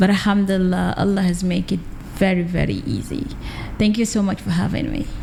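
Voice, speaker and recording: A woman of medium pitch, with noticeable background noise. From Gambia, Sukuta. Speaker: poet and author. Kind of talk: interview.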